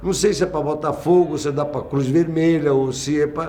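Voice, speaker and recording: The speech moves at a fairly slow pace. Audible room echo is present. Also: man. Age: 60s. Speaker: visual artist. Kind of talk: documentary interview. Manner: halting, repeats words.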